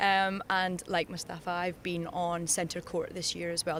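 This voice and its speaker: Speaking at a medium pitch, a woman talks in a Scottish accent. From Scotland, Dundee. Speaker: air force service member. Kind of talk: interview.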